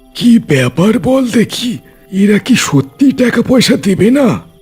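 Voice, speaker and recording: Cartoonish character voice from a man, high in pitch with very wide pitch swings, very even loudness and a moderate pace, faint music in the background. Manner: scornful, rustic dialect.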